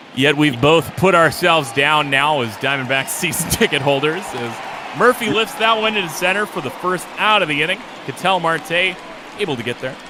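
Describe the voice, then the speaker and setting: The speaker keeps a moderate pace with lively intonation over noticeable background noise. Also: man, fairly high pitch for a man. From US Midwest, Lake Michigan area. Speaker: play-by-play announcer. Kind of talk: live commentary. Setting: online live stream.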